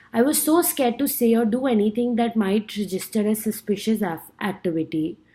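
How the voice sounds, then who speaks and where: A woman with an Indian accent speaks at a fairly high pitch in a somewhat breathy, dark, mellow tone, her loudness very even. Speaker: student. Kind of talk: class speech. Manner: halting, with self-corrections.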